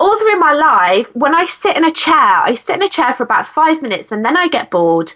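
The pitch swings very widely, with noticeable background noise behind the voice. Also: woman. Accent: British. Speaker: podcast host and speaking coach. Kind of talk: interview conversation. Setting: phone call. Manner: warm, animated.

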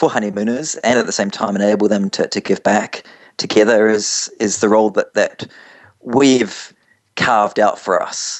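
A man speaks with a New Zealand accent. His pitch sits fairly low. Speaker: travel company founder. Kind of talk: radio interview. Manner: halting, repeats words.

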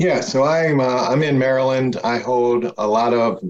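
A man talks in an ordinary speaking voice. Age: 60s. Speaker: networking event organizer. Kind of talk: casual chat.

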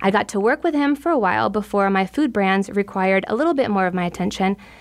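A plain, everyday voice from a woman, medium in pitch, fairly quick, with lively intonation. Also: very clean recording, silent background. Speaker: podcast host and nutritionist. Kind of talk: interview, host-led conversation.

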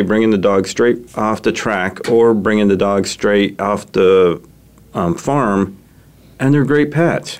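With lively intonation, a man talks in a fairly low pitch, an ordinary speaking voice. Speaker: radio show host. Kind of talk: casual interview, chatty.

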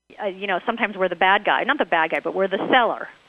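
Over background music, a woman speaks very fast at a medium pitch with ordinary pitch variation. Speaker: radio host. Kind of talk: radio interview. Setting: radio studio broadcast. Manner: laughs often, chatty.

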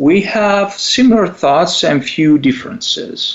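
The speaker has an Italian accent and talks at a fairly slow pace. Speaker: psychologist and radio show co-host. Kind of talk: radio talk show. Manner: halting, with fillers and repetitions.

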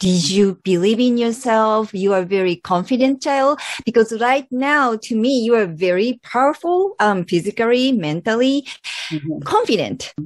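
A woman with a Japanese accent, fairly high pitch, lively intonation and a moderate pace, in a dry, close sound with no echo and a very clean recording with a silent background. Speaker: podcast host, myofascial therapist. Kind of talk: interview. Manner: animated.

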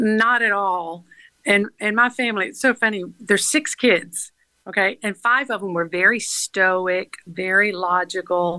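A medium-pitched woman with a Southern US accent speaks at a fairly slow pace, with ordinary pitch variation over a quiet background. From US South, Georgia (Atlanta area). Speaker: nonprofit founder. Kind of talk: interview.

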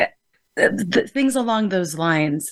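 A woman speaks with an American accent at a medium pitch. The background is quiet. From United States, Filipino family. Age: 50s. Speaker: cultural psychologist and college professor. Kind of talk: panel discussion.

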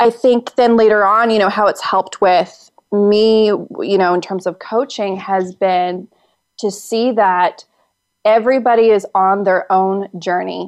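Her pitch medium, a woman speaks at a fairly slow pace. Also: fairly even intonation. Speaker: actor and acting coach. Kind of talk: casual interview chat. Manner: confident, assured.

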